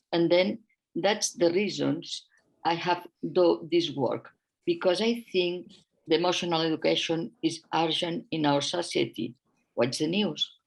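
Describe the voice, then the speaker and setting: Speech in a non-native accent comes at a fairly slow pace with vocal fry, very even loudness, and ordinary pitch variation. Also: woman, fairly low pitch for a woman. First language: not English. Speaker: author and educator. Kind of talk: presentation. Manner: halting.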